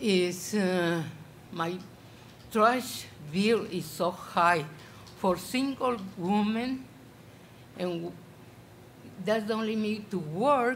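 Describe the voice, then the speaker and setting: With long, frequent pauses and audible room echo, a woman speaks at a very slow pace, her medium pitch showing ordinary variation. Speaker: public commenter at council meeting. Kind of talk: public comment. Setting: city council meeting. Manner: halting.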